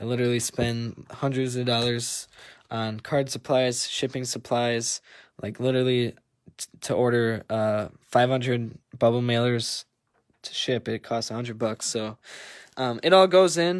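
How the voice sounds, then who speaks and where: This man talks at a fairly slow pace in an Upper Midwest accent, with medium pitch and ordinary pitch variation. The recording is very clean, with a silent background. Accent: Upper Midwest (Wisconsin). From Wisconsin, Green Bay. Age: 20s. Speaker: sports card breaker, new PE teacher. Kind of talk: casual livestream chat. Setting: livestream over wi-fi.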